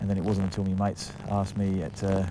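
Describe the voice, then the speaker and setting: Very fast speech from a man, with audible room echo and noticeable background noise. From England. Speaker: footballer. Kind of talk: interview. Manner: halting, many fillers.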